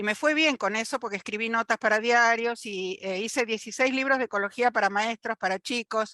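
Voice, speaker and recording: Dry and close with no echo, a woman's bright, sharp tone comes at a fairly high pitch and a fairly quick pace, with ordinary pitch variation. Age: 60s. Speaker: retired biologist, audience participant. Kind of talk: audience question in online talk.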